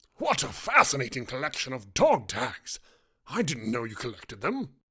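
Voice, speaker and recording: In a put-on character voice with a low-to-middle pitch, the speaker moves at a moderate pace. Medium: read story. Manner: earnest, formal.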